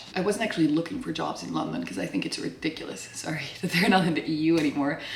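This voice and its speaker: Speaking very fast with lively intonation, a woman with a fairly low pitch is heard over noticeable background noise. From Belgium. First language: Dutch. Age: 20s. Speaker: vlogger. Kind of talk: casual vlog talk.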